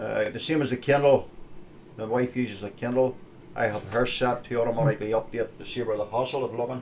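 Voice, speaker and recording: In a Northern Irish accent, a man talks at a very fast pace with monotone, flat intonation and a medium pitch. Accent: Northern Irish (Ulster). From Northern Ireland (Ulster). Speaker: tech show host. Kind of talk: casual tech show talk. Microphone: stream had bad quality.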